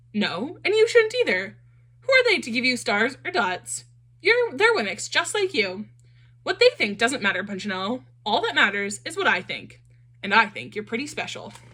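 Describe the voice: A woman's put-on character voice, fairly high-pitched with big pitch swings, a bright, sharp tone with a slightly husky edge, at a moderate pace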